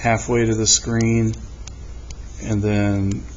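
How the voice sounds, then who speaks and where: A man's voice carries audible room echo. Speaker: math teacher. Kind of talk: tutorial. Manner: slow.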